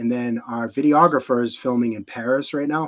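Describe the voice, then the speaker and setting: Here a man talks at a fairly quick pace. His pitch is medium and his intonation fairly even. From Boston area, New England (moved from Houston at 11). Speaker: wedding photographer. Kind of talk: podcast interview. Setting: live video podcast. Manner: casual, filler-heavy speech.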